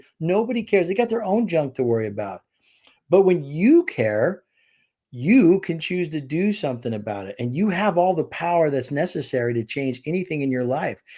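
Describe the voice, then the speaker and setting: With an American accent, a man speaks in a dark, mellow tone at a fairly high pitch and a moderate pace, his pitch swinging very widely against a quiet background. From Southern California. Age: 60s. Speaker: author and speaker. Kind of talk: casual interview chat.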